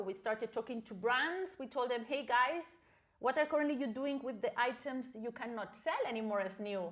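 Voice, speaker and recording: Against noticeable background noise, a woman talks at a moderate pace in a high pitch with lively intonation. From Spain, Barcelona. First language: Spanish or Catalan. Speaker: startup founder and CEO. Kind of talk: interview.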